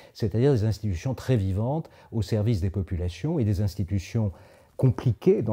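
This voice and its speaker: Somewhat breathy and dark, mellow in tone, a man speaks at a fairly low pitch. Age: 70s. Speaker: Jesuit priest and former diplomatic adviser. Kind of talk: interview monologue. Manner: hesitant, frequent filler sounds.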